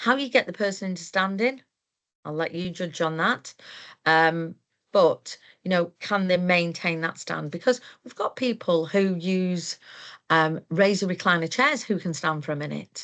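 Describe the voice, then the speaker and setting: With a South Yorkshire accent, a woman speaks at a fairly low pitch and a moderate pace, with ordinary pitch variation and a quiet background. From South Yorkshire, England. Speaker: occupational therapist, moving and handling trainer. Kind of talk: webinar presentation. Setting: online webinar.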